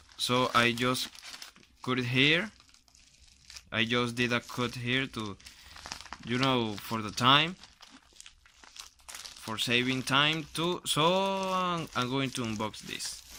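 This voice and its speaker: A man with a Spanish accent talks at a very slow pace with ordinary pitch variation, long and frequent pauses, and noticeable background noise. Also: medium pitch for a man. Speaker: YouTuber doing product unboxing. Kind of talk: unboxing video, casual talk to camera. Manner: halting, with self-corrections.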